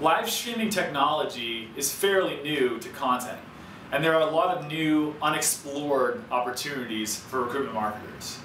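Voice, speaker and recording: A man talks at a moderate pace over light background noise, with audible room echo. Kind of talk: scripted explainer to camera. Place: studio.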